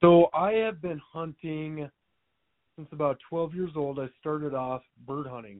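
Using an ordinary speaking voice with an American accent, a man talks at a fairly slow pace with a fairly high pitch and ordinary pitch variation. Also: big swings in loudness. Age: 20s. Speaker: hunting gear business owner, military veteran. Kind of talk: casual chat.

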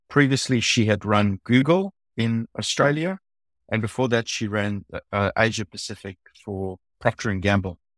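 A man with a South African accent speaks at a moderate pace in a fairly low pitch, with ordinary pitch variation and a dry, close sound with no echo. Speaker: design executive. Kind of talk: interview. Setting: remote call.

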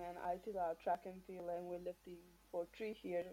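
A woman's fairly low voice with a dark, mellow tone and a Marshallese accent. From Marshall Islands. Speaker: weightlifter, Olympian. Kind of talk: casual interview. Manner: halting.

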